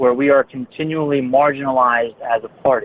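In a plain, everyday voice, a man with an American accent speaks with fairly even intonation. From northern Baltimore County, Maryland. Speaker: state legislature candidate, ambulance company owner. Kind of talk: interview.

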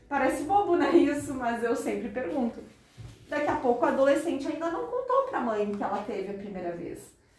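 Her voice is high, and a woman speaks with lively intonation. The room echo is audible. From Rio Grande do Sul, Brazil (Porto Alegre). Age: 40s. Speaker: gynecologist. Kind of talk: educational talk with students.

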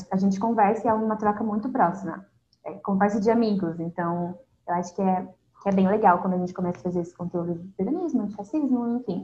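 Dark and mellow in tone, the somewhat breathy voice moves at a very fast pace with ordinary pitch variation. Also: woman, medium pitch for a woman. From southern Brazil. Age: 20s. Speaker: university student and Instagram content creator. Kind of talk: casual interview chat. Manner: calm.

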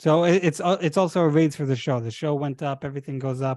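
Fairly high in pitch for a man, he speaks with an Israeli accent and fairly even intonation. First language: Hebrew. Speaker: podcast host. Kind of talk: casual chat.

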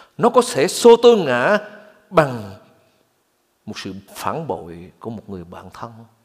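With very wide swings in pitch, a man talks fairly slowly. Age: 60s. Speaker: pastor. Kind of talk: sermon.

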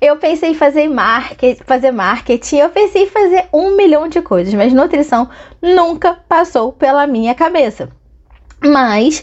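Her tone animated and intonation lively, a woman speaks at a moderate pace with a high pitch. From Angra dos Reis, Rio de Janeiro state, Brazil. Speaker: podcast host, nutritionist and business mentor. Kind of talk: personal storytelling monologue. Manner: animated, laughs often.

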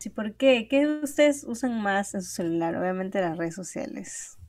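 Her medium-pitched voice swings very widely in pitch as the woman talks at a moderate pace. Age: young. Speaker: podcast co-host. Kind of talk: casual chat.

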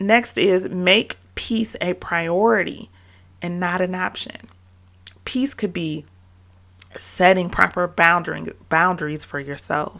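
With vocal fry and a bright, sharp tone, a woman talks at a fairly slow pace in a fairly low pitch. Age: 30s. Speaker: podcast host and motherhood coach. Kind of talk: motivational solo podcast.

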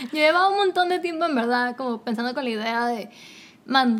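Her pace is moderate. This woman's voice sits at a high pitch. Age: 20s. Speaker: podcast host. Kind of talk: casual chat. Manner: animated.

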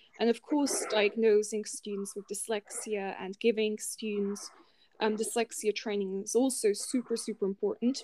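At a moderate pace, a woman with an unremarkable speaking voice talks at a fairly high pitch with fairly even intonation, the sound dry and close with no echo. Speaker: dyslexic student and podcast co-host. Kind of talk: casual debate discussion.

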